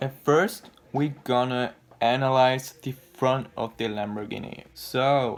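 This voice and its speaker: Very slow speech with a non-native accent. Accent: non-native English, noticeable mistakes. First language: not English. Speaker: car design YouTuber. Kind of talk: video commentary analysis. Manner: casual, hesitant.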